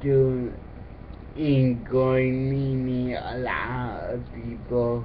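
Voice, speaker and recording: A man speaks at a medium pitch and a very slow pace. Noticeable background noise runs underneath. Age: 20s. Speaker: college student. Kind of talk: casual talk to camera, application video.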